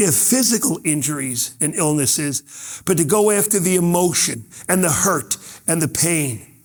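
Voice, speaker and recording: In a New York accent, a man with a high-pitched voice speaks at a moderate pace, his tone animated and his intonation lively. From New York, Brooklyn. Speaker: motivational speaker. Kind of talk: keynote speech.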